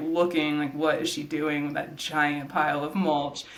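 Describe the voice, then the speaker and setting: A woman speaks with an American accent and fairly even intonation. Noticeable background noise and audible room echo come through. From Georgia, US South. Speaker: nonprofit executive director and landscape designer. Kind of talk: interview conversation. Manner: casual, many filler words.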